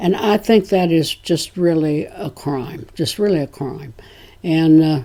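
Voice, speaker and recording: This woman has a fairly low pitch and a dark, mellow tone. Her pace is fairly slow, with ordinary pitch variation. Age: 80s+. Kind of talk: interview answer.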